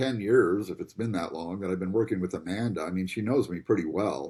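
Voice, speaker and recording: An unremarkable speaking voice from a man, fairly low in pitch, at a moderate pace with ordinary pitch variation, on a very clean recording with a silent background. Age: 60s. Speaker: gym member. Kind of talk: casual chat.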